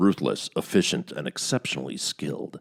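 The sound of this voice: In a put-on character voice, a man booms with a dramatic tone. The sound is dry and close, with no echo.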